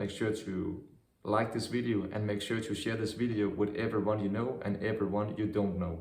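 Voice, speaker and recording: Against audible room echo, a man speaks with a somewhat breathy voice at a fairly low pitch and with fairly even intonation. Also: moderate pace. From Denmark, Vejle. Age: 20s. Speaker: vlogger. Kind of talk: video outro.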